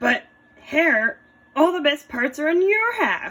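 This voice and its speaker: In a put-on character voice, a woman talks at a fairly slow pace with a high pitch. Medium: read story. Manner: slow, grumbling.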